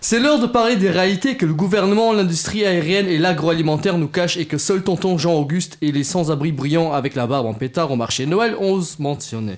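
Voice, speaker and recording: Over noticeable background noise, a man with a high pitch talks at a fairly quick pace with lively intonation and hardly any pauses. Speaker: radio show panelist doing a comedic segment. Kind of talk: comedic scripted segment.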